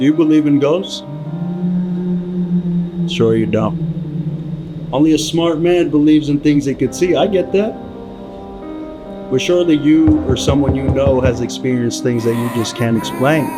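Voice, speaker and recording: A man with an American accent talks at a moderate pace and a fairly high pitch, with ordinary pitch variation and long, frequent pauses. Music plays behind him. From Los Angeles. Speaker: stand-up comedian. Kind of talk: spooky podcast intro narration.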